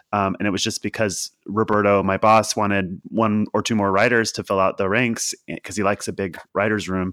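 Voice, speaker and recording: A man speaks at a fairly quick pace and a fairly low pitch in a monotone, flat way, with a dry, close sound, no echo, and a very clean recording against a silent background. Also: hardly any pauses. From Kentucky, then Philadelphia. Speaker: TV writer. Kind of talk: casual chat.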